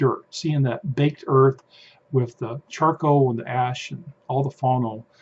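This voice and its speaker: This man has an American accent and a medium pitch. His voice is somewhat breathy. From US South, Georgia. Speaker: archaeologist; interviewee. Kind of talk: recorded answers to student questions. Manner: conversational, with many fillers. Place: home room. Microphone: webcam.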